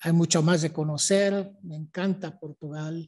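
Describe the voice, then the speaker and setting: A man speaks at a fairly slow pace in a high voice with fairly even intonation. The background is quiet. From Mexico City. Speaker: history professor. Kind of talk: lecture.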